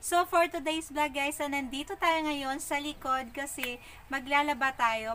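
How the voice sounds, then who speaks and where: A woman speaks in a raised, projected voice at a fairly slow pace. Light background noise can be heard. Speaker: home vlogger. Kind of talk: casual vlog chat. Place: garden. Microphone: phone near.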